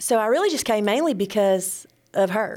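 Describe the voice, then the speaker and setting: On a very clean recording with a silent background, a woman with an Alabama accent speaks at a moderate pace. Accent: US Southern (Alabama). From northwest Alabama, Cherokee area. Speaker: church member. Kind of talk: testimony.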